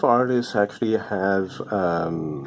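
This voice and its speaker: There is noticeable background noise in the clip. The man's voice sits at a fairly low pitch. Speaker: comic book artist. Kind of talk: casual drawing chat. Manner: hesitant, many fillers.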